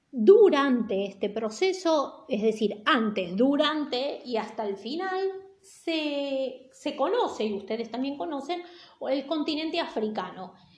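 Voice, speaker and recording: A woman's high-pitched voice with very wide pitch swings at a very slow pace, plus audible room echo and noticeable background noise. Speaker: teacher. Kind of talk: lecture. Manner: casual, hesitant with fillers.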